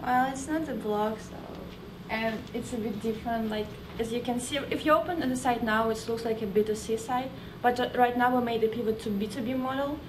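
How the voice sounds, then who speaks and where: A woman speaks with a Russian accent at a fairly high pitch and a fairly quick pace. Audible room echo and noticeable background noise surround her voice. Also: fairly even intonation. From Russia, Moscow. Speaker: startup founder. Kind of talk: sales pitch.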